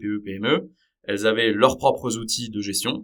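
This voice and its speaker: A man's medium-pitched voice at a fairly slow pace. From Paris region, France. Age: 30s. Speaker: startup co-founder. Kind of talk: podcast interview. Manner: hesitant, many fillers.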